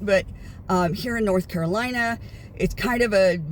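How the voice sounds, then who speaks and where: A woman with an American accent speaks at medium pitch and a moderate pace. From United States. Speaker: vlogger. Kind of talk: casual vlog monologue. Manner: hesitant, many fillers.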